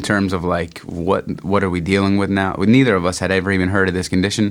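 This man speaks with a Philadelphia accent. His pitch is very deep and low. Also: very clean recording, silent background. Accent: Philadelphia-area American. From US Northeast, Norristown near Philadelphia. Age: 30s. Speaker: designer and pro skateboarder. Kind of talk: casual interview. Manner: halting, many fillers and repetitions.

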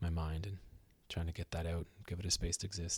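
Over a silent background in a very clean recording, a man with a Canadian accent talks at a fairly quick pace in a very deep, low, somewhat breathy voice with fairly even intonation. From Ontario, Canada. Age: 30s. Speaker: musician and new father. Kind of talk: casual interview chat. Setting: studio.

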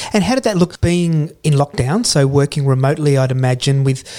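Fairly high in pitch, a man speaks at a fairly quick pace in a dark, mellow tone that is somewhat breathy, with ordinary pitch variation. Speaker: podcast host. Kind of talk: casual interview.

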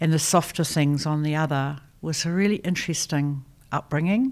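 A woman speaks with a New Zealand accent and ordinary pitch variation. The recording is very clean, with a silent background. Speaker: design educator and institute founder. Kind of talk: interview.

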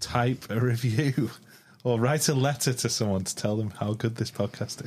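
This man has a medium pitch and an unremarkable speaking voice, talking at a moderate pace with fairly even intonation. The recording is very clean, with a silent background. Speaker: co-host. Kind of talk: casual chat.

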